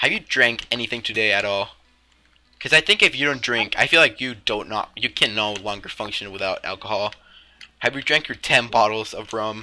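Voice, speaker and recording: A man with a fairly low pitch talks at a fairly quick pace in a bright, sharp tone with ordinary pitch variation. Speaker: Minecraft roleplay YouTuber. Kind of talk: heated argument in a gameplay roleplay. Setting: gameplay recording with voiceover. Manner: sarcastic, blunt, and quick to snap back; stumbling, repeating words mid-sentence.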